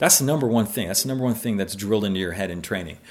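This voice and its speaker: A man speaks with a Canadian accent and ordinary pitch variation. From Canada, Mississauga (Ontario). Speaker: former talk radio host, police officer. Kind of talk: interview conversation. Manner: conversational, with frequent fillers and repetitions.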